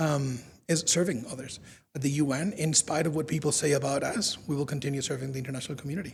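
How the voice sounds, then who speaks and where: Very fast and somewhat breathy, a man with a Spanish accent talks in a fairly high pitch with fairly even intonation, audible room echo around him. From Spain. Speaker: UN communications officer. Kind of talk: public lecture.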